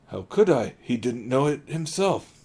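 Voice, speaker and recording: A man puts on a raspy character voice at a fairly high pitch. He keeps a moderate pace with lively intonation. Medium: read story.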